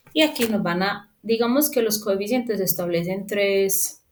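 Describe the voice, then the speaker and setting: Delivery is very slow, with lively intonation. Audible room echo surrounds the voice. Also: woman. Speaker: property management instructor. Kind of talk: lecture. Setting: recorded remote class.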